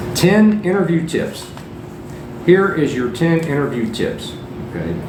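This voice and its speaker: Amid noticeable background noise and audible room echo, a man with a fairly high pitch speaks with lively intonation and long, frequent pauses. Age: 60s. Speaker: English teacher. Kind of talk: podcast lesson. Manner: repetitive.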